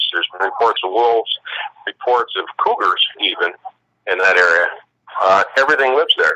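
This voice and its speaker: A man talks at a moderate pace. His pauses are long and frequent. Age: 60s. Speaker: eyewitness guest. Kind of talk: interview storytelling.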